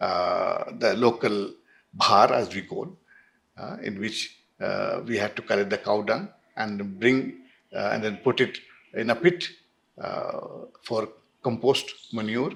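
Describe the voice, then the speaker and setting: A man with a Jharkhand accent at a fairly slow pace, with long, frequent pauses. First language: Kudukh. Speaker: Jesuit priest and academic. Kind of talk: oral history interview. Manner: halting, many fillers.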